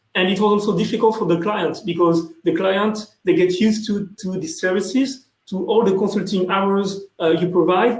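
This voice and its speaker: Delivered at a moderate pace, the speech carries a French accent and fairly even intonation. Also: man. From France. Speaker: sales executive. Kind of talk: conference panel talk. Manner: halting, many fillers.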